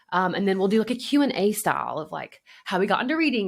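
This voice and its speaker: A woman with a Southern US accent at a fairly quick pace. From US South, Alabama. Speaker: podcast co-host. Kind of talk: casual chat. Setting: remote recording.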